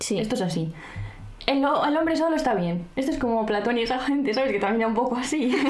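High-pitched, very fast speech from a woman with lively intonation and very even loudness, amid noticeable background noise and audible room echo. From Spain, La Rioja (Arnedillo). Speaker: podcast co-host. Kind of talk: casual chat with scripted segments.

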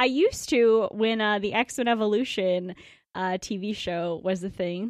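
The speaker is a woman. Her pitch is fairly high. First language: not English. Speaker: podcast co-host. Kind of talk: casual chat.

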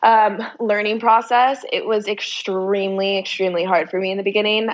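A woman with an ordinary speaking voice, a fairly quick pace and fairly even intonation. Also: hardly any pauses. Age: 20s. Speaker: personal trainer and fitness entrepreneur. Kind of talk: casual chat.

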